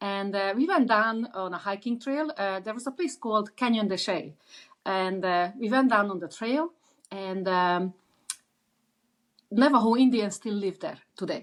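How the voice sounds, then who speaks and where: A woman with an Eastern European accent speaks at a medium pitch and a moderate pace, with ordinary pitch variation and long, frequent pauses. The recording is very clean, with a silent background. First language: Eastern European language. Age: 60s. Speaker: author. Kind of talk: interview. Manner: halting, many fillers.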